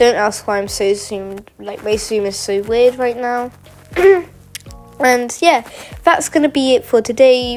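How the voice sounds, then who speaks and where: With noticeable background noise behind her, a woman speaks at a moderate pace. Her voice is high, with ordinary pitch variation. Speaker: mapping video creator. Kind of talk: casual map narration. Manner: loud, shouting; halting.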